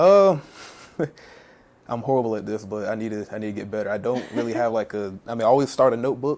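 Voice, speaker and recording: A man with an American accent speaks at a very fast pace in a medium-pitched voice. He breaks it up with long, frequent pauses and shows ordinary pitch variation. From Virginia Beach, US. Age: 20s. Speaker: R&B singer. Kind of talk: interview. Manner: hesitant, many fillers.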